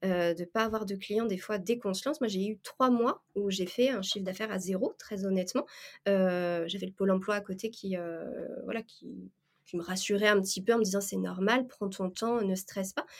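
A woman talks at medium pitch and a moderate pace. It is a normal speaking voice, with fairly even intonation. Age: 30s. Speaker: freelance administrative assistant. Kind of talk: interview.

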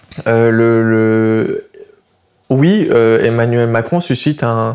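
A man's voice at a medium pitch. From southern France, Montpellier. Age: 20s. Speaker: young political activist. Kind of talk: interview. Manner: halting.

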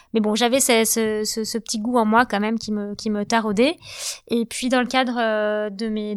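On a very clean recording with a silent background, a woman speaks at a moderate pace with fairly high pitch and monotone, flat intonation. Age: 40s. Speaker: real estate entrepreneur. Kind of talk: interview.

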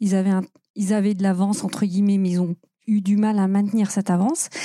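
A woman talks fairly quickly at a medium pitch in a dark, mellow, somewhat breathy tone. The sound is dry and close, with no echo. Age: 40s. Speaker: UX consultant. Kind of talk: interview.

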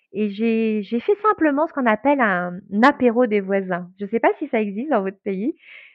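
A woman with a fairly high pitch speaks in an unremarkable speaking voice. Her pace is moderate and her pitch varies in an ordinary way. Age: 40s. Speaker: brand naming consultant. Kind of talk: interview.

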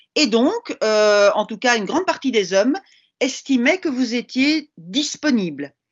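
Her pitch is high and swings very widely. The woman talks at a fairly slow pace. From Belgium. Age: 50s. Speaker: linguistics professor. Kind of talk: casual chat.

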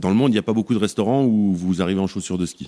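Lively intonation in a dark, mellow tone. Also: man. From France, Savoie (Tarentaise valley). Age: 40s. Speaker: chef. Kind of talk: interview testimony. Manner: casual, hesitant with many fillers.

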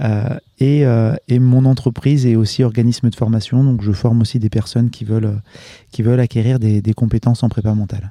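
The voice has a dark, mellow tone, a fairly quick pace and fairly even intonation. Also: man, medium pitch for a man. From France, Lyon region. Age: 40s. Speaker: mental performance coach. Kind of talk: casual interview. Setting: outdoors at home. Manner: halting, many repetitions and fillers.

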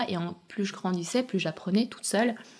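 A woman at a medium pitch speaks at a very fast pace with ordinary pitch variation and a somewhat breathy voice. The recording is very clean, with a silent background. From Chechnya region, Russia; raised in France from age 7. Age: young. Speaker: dressmaker and fashion designer. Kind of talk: interview testimony. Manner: hesitant, many fillers.

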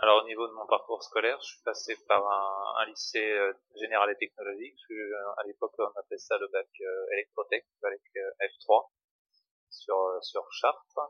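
A man's fairly slow delivery, with long, frequent pauses and big swings in loudness. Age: 40s. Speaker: train maintenance technician, former teacher. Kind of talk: interview testimony. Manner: hesitant, many fillers. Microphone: poor sound quality.

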